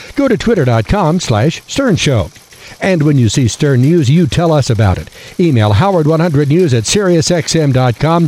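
Over noticeable background noise, a man with a fairly high voice and an energetic tone makes very wide pitch swings. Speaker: newscaster. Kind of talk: radio newsreading, brisk and polished, crisp anchor delivery with promo reads. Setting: studio. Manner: crisp, formal, steady, energetic.

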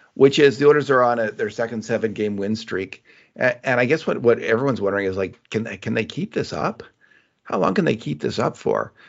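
An ordinary speaking voice, a man at medium pitch, fairly quick pace with lively intonation. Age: 60s. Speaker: sports journalist and podcast host. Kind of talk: casual hockey analysis chat.

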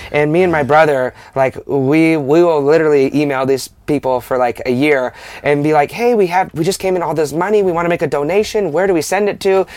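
In an unremarkable speaking voice, a man talks at a fairly quick pace, fairly high in pitch, with ordinary pitch variation. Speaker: podcast host. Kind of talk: casual interview chat.

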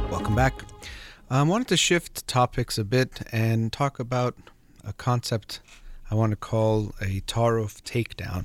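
Music plays in the background as a man speaks at a medium pitch. His pitch variation is ordinary, and the sound is dry and close with no echo. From Iranian heritage. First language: Farsi. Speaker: radio host and psychologist. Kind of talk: call-in advice show. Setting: studio.

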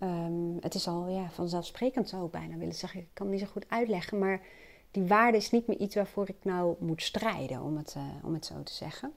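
On a very clean recording with a silent background, a woman talks at a fairly quick pace, her loudness swinging widely while her pitch variation stays ordinary. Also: medium pitch for a woman. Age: 40s. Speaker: personal coach. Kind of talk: solo monologue. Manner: hesitant, many fillers.

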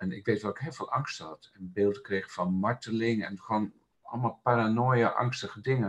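In a normal speaking voice, a man talks at a moderate pace and medium pitch, his intonation fairly even but his loudness swinging widely. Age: 60s. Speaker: laughter meditation and Sufi dance facilitator. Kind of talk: casual interview.

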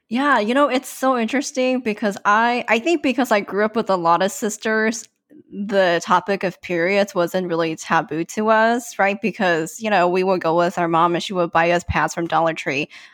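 A woman with a plain, everyday voice and an American accent speaks at a moderate pace and a medium pitch, with lively intonation and hardly any pauses, in a very clean recording with a silent background. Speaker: podcast co-host. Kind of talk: casual chat.

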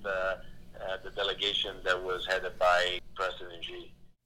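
A fairly slow pace in an Italian accent. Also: man. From Italy. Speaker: trade official. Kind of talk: interview. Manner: halting with many fillers.

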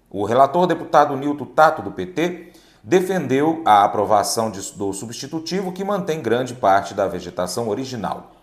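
At a moderate pace, a man speaks at a medium pitch with very wide pitch swings, with noticeable background noise behind him. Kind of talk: news reading. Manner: formal; steady, measured newsreader pace.

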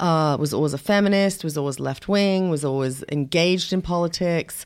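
A woman speaks with a European accent. Her pitch is fairly low. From England. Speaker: independent filmmaker. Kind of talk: interview conversation.

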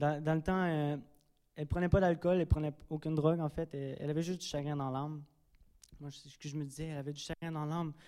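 In a Quebec accent, a man talks at a very fast pace with a fairly high pitch, a dark, mellow tone, monotone, flat intonation and big swings in loudness. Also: very clean recording, silent background. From Drummondville, Quebec. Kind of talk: testimony. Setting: church.

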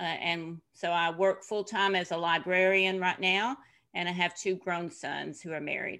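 A woman with a Tennessee accent speaks at a moderate pace with fairly even intonation. Her fairly low voice has a bright, sharp tone, and the background is quiet. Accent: Southern US (Tennessee). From US South, Tennessee. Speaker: author and former missionary. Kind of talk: interview.

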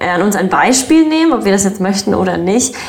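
A woman's medium-pitched voice comes with audible room echo and noticeable background noise. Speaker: YouTuber and podcast host. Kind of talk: casual chat. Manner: sounds bored.

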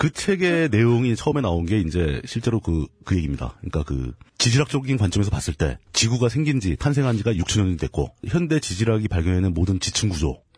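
A man speaks at a fairly quick pace with hardly any pauses, very even loudness, very wide pitch swings, and a somewhat breathy sound. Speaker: political commentator. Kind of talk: casual chat. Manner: halting.

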